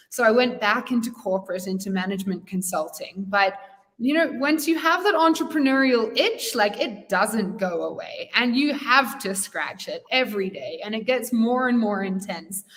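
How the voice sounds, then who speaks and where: Over noticeable background noise, a woman with a fairly high pitch speaks at a moderate pace with lively intonation and hardly any pauses. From England and Wales, then Australia. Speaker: entrepreneur, community founder. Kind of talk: interview.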